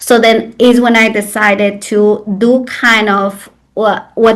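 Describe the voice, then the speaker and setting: A woman speaks with a Mexican accent in a fairly high pitch, her intonation fairly even. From Mexico, Xalapa, Veracruz. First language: Spanish. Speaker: traditional birthkeeper and sobadora. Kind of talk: interview conversation. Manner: hesitant with fillers.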